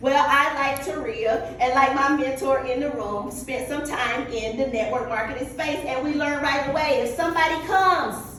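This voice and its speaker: A woman with a North Carolina accent speaks at a high pitch and moderate pace in an animated tone, with noticeable background noise. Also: ordinary pitch variation, hardly any pauses. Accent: Southern US (North Carolina). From North Carolina, US South. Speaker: motivational speaker, business coach. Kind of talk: motivational talk. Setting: stage with audience.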